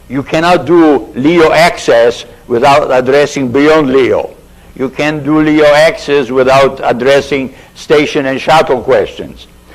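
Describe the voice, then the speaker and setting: Noticeable background noise accompanies a man speaking at a fairly slow pace. His pitch is fairly high and his intonation fairly even. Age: 60s. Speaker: aerospace engineer and committee member. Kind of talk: committee briefing. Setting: public hearing. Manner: halting.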